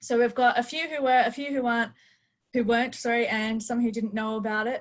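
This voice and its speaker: This woman has an Australian accent and a somewhat breathy voice, with ordinary pitch variation. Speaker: webinar host. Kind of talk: live webinar hosting. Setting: video call.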